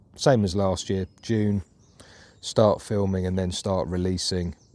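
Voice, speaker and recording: In a very clean recording with a silent background, a man speaks at a very deep, low pitch with a dark, mellow, relaxed tone and monotone, flat intonation. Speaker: professional woodturner. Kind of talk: casual talk to camera. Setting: outdoors. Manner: relaxed, reflective.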